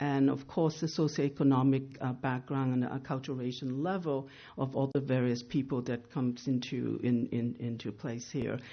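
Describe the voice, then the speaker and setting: This woman has a very deep, low pitch and fairly even intonation. She keeps a moderate pace with hardly any pauses. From Asia, immigrated to US as teen. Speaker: mental health agency leader. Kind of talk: presentation. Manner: hesitant, many fillers.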